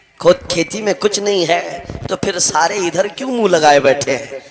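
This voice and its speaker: A man speaks in a raised, projected voice over noticeable background noise. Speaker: Islamic preacher. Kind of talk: passionate religious sermon. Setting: public gathering, crowd responding. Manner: fiery, emphatic, oratorical.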